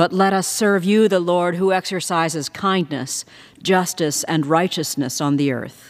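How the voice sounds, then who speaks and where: The voice carries an American accent. It moves at a fairly slow pace. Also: woman. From United States. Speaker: House chaplain. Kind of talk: formal prayer read in Congress. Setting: House chamber, congressional setting. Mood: solemn, measured. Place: hall. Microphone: podium.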